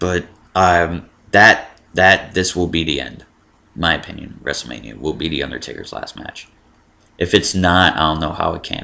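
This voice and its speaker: Pitched very deep and low, a man talks with vocal fry and a bright, sharp tone, his loudness swinging widely. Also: moderate pace. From Miami, Florida. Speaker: wrestling vlogger. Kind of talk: casual vlog commentary. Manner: monotone; hesitant, many fillers.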